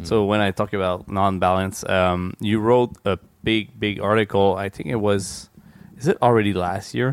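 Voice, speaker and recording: This man talks in a Quebec accent at a fairly low pitch. His intonation stays fairly even. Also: moderate pace. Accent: French-Canadian accent in English. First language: French. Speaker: podcast host. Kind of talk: casual chat. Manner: hesitant in English.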